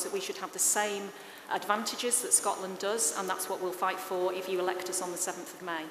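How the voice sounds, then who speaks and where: Over light background noise and with audible room echo, a woman talks at a very fast pace in monotone, flat intonation. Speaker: parliamentary candidate. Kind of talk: political debate. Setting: stage with live audience, broadcast on radio. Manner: loud. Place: hall. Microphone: podium.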